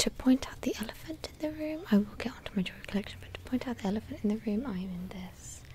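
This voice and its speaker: Someone whispers at a fairly quick pace. Light background noise is present. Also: woman. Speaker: ASMR creator. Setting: outdoors. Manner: whispered. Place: garden.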